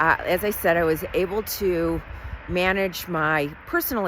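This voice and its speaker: The speaker talks with an American accent. Noticeable background noise can be heard. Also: woman. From Southern California. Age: 60s. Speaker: vlogger, hotel site selection business owner. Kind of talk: casual personal vlog.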